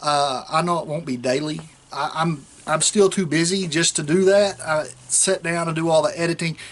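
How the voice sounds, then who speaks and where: A man with a strong Southern US accent, a fairly high pitch and fairly even intonation. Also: moderate pace. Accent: strong rural Southern, hillbilly-sounding. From South Central Oklahoma. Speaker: state trooper and vlogger. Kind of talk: casual vlog talk. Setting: outdoors. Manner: relaxed, rambling with fillers.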